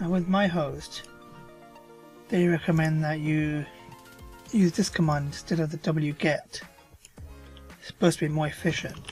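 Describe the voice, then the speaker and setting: The speech is mumbled, with long, frequent pauses. Music plays in the background. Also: moderate pace. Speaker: WordPress tutorial maker. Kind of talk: screen-recorded software tutorial. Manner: mumbling.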